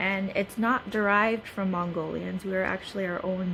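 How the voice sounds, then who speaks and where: A woman's medium-pitched voice with a Southeast Asian accent. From US, Hmong American community. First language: Hmong. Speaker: student. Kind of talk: class presentation. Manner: hesitant, many fillers.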